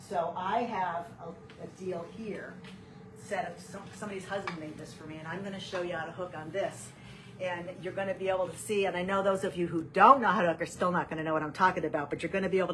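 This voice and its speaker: A woman talking at a very fast pace, fairly low in pitch, with fairly even intonation, big swings in loudness and noticeable background noise. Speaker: rug hooking teacher. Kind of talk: tutorial. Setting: home studio, live video stream.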